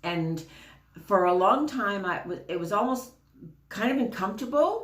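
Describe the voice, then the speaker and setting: With a Canadian accent, a woman speaks at a fairly slow pace, her pitch swinging very widely, in a room with audible echo. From Canada. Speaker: spiritual card reader. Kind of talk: casual spiritual talk to camera. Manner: chatty, many fillers.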